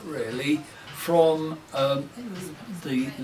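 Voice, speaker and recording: Noticeable background noise sits behind this man's voice. His pitch is fairly high and his intonation fairly even. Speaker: local councillor. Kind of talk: interview answer.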